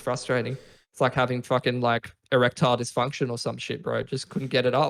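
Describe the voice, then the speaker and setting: Speaking at a fairly quick pace, a medium-pitched man keeps a monotone, flat intonation with vocal fry. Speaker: esports shoutcaster. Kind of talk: interview answer. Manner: casual, profane.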